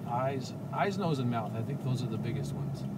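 A man talking at a fairly slow pace over loud background noise. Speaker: drawing instructor. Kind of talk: casual rambling talk on drawing. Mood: relaxed, reflective. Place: car.

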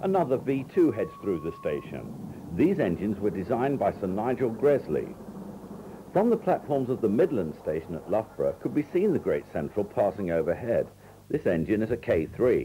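A man speaks with very wide pitch swings, noticeable background noise behind him. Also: medium pitch for a man, moderate pace. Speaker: scripted narrator of railway film. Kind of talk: scripted documentary narration. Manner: measured, formal, matter-of-fact.

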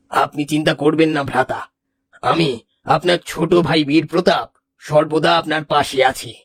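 A man puts on a cartoonish character voice, delivered at a moderate pace in monotone, flat intonation. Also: fairly high pitch for a man.

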